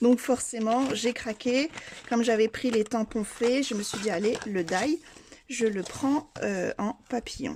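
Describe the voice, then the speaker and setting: A woman speaks very slowly in a fairly high pitch. Her voice is somewhat breathy. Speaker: craft youtuber. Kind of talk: product unboxing haul. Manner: hesitant, many fillers.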